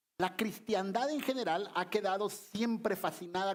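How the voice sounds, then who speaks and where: A man with ordinary pitch variation in a very clean recording with a silent background. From Guatemala. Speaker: visiting pastor. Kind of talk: sermon. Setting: church.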